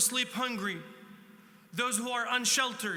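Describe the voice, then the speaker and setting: A man projects a raised voice at an extremely high pitch in a flat monotone, with audible room echo and noticeable background noise. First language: not English. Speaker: state senator. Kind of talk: panel speech.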